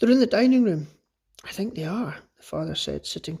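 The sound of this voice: An unforced reading voice with lively intonation against a quiet background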